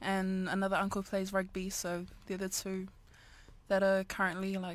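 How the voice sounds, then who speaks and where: A woman at medium pitch and moderate pace, monotone, flat intonation, very clean recording with a silent background. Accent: New Zealand. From New Zealand, Auckland. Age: 20s. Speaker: amateur boxer. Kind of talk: interview. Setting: studio.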